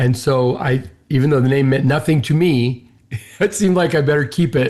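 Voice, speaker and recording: Fairly quick and very even in loudness, a man with a fairly high pitch speaks in a somewhat breathy voice with ordinary pitch variation. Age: 60s. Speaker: business owner and CEO. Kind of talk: interview conversation.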